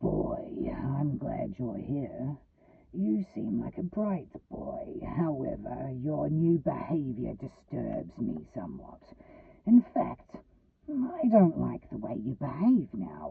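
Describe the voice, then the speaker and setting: In a put-on character voice, a man hisses his words at a very slow pace. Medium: read story. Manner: hissing, sneering, seductive.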